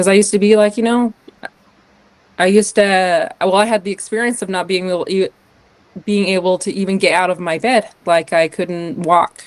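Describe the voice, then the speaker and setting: A woman with an American accent talks at a moderate pace in an ordinary speaking voice, her medium pitch showing ordinary pitch variation. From US West, northern Utah. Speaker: podcast guest, artist and business owner. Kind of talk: casual interview conversation.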